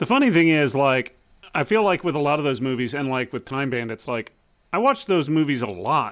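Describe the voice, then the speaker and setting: The speaker talks at a fairly quick pace with lively intonation. It is an ordinary speaking voice. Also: man, fairly high pitch for a man. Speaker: comedy podcast co-host. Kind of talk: casual chat.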